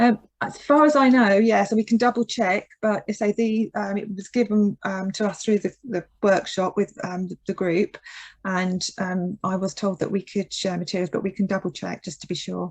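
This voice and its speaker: A woman speaks at a moderate pace and a medium pitch, with ordinary pitch variation. Her voice is somewhat breathy, and the sound is dry and close with no echo. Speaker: occupational therapist leading a seminar. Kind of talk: Q&A in online seminar. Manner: speeds up when excited.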